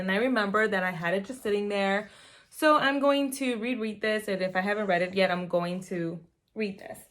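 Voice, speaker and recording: A woman with a Spanish accent talks at a fairly quick pace, her pitch medium with ordinary variation. The recording is very clean, with a silent background. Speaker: mom vlogger. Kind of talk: casual vlog. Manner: casual, with fillers.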